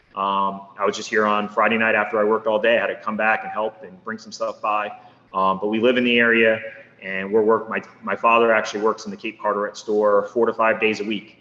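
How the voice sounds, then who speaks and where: Speaking at a fairly quick pace with an American accent, a man with a fairly low pitch keeps a monotone, flat intonation while his loudness swings widely, with noticeable background noise behind him. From northeast Pennsylvania (Poconos). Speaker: small business owner. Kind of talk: podcast interview. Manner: casual, conversational with fillers.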